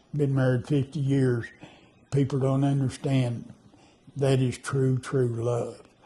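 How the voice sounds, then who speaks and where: Somewhat breathy and dark, mellow in tone, a man's medium-pitched voice moves at a fairly slow pace with fairly even intonation. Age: 90s. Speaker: elderly interviewee. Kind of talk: interview. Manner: halting.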